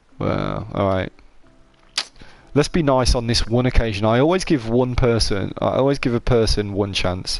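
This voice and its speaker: A man with a British accent at a medium pitch, a moderate pace and ordinary pitch variation, with music in the background. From UK. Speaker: gaming streamer. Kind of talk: live gameplay commentary. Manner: casual, hesitant with fillers.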